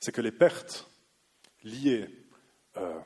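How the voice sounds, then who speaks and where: With ordinary pitch variation, the man talks at a medium pitch. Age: 30s. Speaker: law researcher on agricultural policy. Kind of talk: lecture; audience Q&A.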